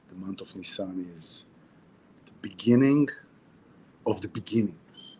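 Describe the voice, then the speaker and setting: A man speaks with an Israeli accent. His pitch is fairly low. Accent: Hebrew. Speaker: spiritual teacher. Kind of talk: weekly Torah talk. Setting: outdoors near the sea, video stream. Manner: casual, repetitive and halting.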